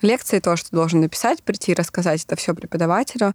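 With ordinary pitch variation and a fairly low pitch, a woman speaks in an unremarkable speaking voice, the sound dry and close with no echo on a very clean recording with a silent background. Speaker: surgical resident. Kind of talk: interview.

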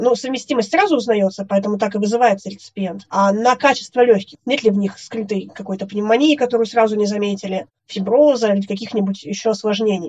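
Very fast and somewhat breathy, a woman speaks at a fairly high pitch with ordinary pitch variation. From Russia, Yekaterinburg / Sverdlovsk region. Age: 30s. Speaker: lung transplant recipient. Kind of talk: interview testimony.

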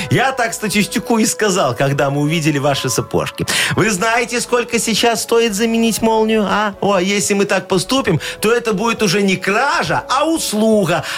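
Music plays in the background as a man talks at a high pitch and moderate pace, with lively intonation and very even loudness. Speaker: radio host. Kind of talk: radio dj patter. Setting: studio. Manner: animated; bantering.

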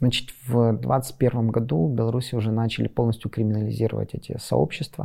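This man has a dark, mellow tone and a medium pitch with ordinary variation. He talks at a fairly quick pace with hardly any pauses. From western Ukraine. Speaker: civic activist. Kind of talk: interview monologue. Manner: halting.

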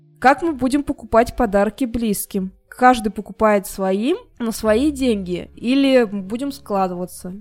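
A woman at a fairly high pitch speaking at a very slow pace, with music in the background. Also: ordinary pitch variation. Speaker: podcast co-host. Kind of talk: casual chat.

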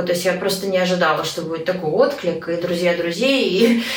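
A woman speaks at a medium pitch and a moderate pace with ordinary pitch variation, over noticeable background noise and audible room echo. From Moscow, Russia. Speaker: emigrant mother. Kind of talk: interview.

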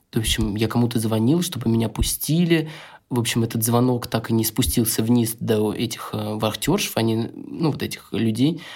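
Over a very clean recording with a silent background, a man speaks at a moderate pace in a normal speaking voice. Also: medium pitch for a man, ordinary pitch variation. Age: 30s. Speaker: photographer, father of two. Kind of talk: casual chat.

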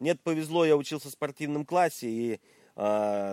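Dark and mellow, a man's voice moves with lively intonation. The recording is very clean with a silent background, dry and close with no echo. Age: 40s. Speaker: musician. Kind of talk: casual interview.

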